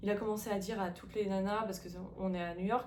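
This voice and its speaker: Medium pitch from a woman, against noticeable background noise. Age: 30s. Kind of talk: casual talk to camera.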